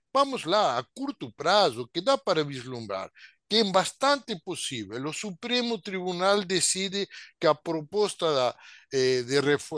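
The speaker has a Spanish accent and talks at a fairly slow pace with very wide pitch swings. The sound is dry and close, with no echo. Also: man, quiet background. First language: Spanish (speaking Portuguese). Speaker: sociologist. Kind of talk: webinar talk, expository.

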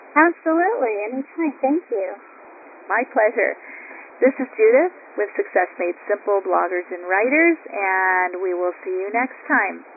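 Noticeable background noise sits behind a woman whose fairly high voice swings very widely in pitch. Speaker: radio interviewer. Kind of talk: interview.

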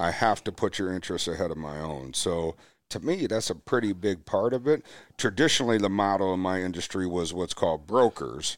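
Speaking at a fairly quick pace with lively intonation and an American accent, the voice comes through on a very clean recording against a silent background. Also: man, very deep, low pitch for a man. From US Midwest, Milwaukee, Wisconsin. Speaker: financial advisor. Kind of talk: casual chat.

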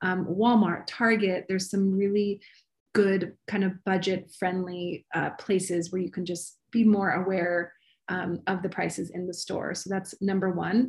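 Speaking with an American accent, a woman uses a somewhat breathy voice at medium pitch, fairly slow pace and monotone, flat intonation. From US East Coast, Maryland. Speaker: recipe developer and cooking teacher. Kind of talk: casual interview.

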